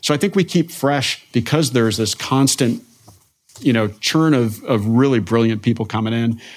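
In a very clean recording with a silent background, a man with an American accent uses an ordinary speaking voice at medium pitch, keeping very even loudness, a moderate pace and ordinary pitch variation. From New Jersey (northwest). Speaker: university president, intelligence educator. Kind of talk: interview.

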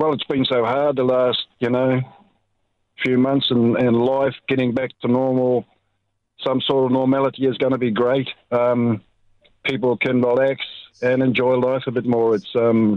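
Speaking at a moderate pace in a New Zealand accent, the voice stays monotone and flat, with very even loudness and long, frequent pauses. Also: man, medium pitch for a man. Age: 70s. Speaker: caller. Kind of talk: casual chat. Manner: halting.

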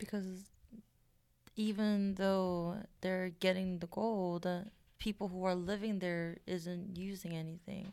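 With a Korean accent, a woman talks at a very slow pace in a dark, mellow tone with monotone, flat intonation. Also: medium pitch for a woman. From South Korea. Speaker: podcast co-host. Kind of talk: casual chat. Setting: studio.

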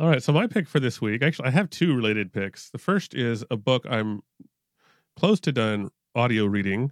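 A man with a plain, everyday voice at medium pitch talks at a moderate pace with lively intonation, in a dry, close sound with no echo on a very clean recording with a silent background. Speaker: podcast panelist. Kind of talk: casual interview chat.

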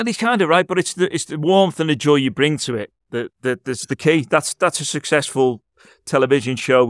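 A man with a Liverpool accent speaks at a fairly quick pace in a fairly high pitch with lively intonation, in a very clean recording with a silent background and a dry, close sound with no echo. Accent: Liverpool (Scouse). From Liverpool, England. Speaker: radio host. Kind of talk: casual chat; scripted intro.

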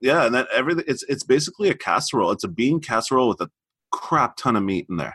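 A man's medium-pitched voice with a bright, sharp tone and vocal fry, very fast, dry and close with no echo. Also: lively intonation. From grew up overseas as military child, family from Montreal. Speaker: chef. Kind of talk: casual interview chat.

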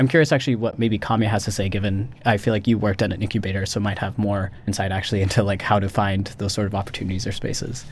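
Speaking at a very fast pace with hardly any pauses, a man with an American accent has a fairly low, somewhat breathy voice. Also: fairly even intonation. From US Midwest, Missouri. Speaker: MBA student. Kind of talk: interview.

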